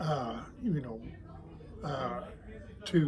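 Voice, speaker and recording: This voice is somewhat breathy. It carries an American accent. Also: man. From Oklahoma City area, US. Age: 80s+. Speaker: retiree and toy glider maker. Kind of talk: interview. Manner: halting, many fillers.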